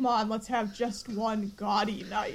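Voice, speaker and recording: In a put-on character voice, breathy and fairly high in pitch, the speaker goes at a fairly slow pace. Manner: seductive, flirtatious.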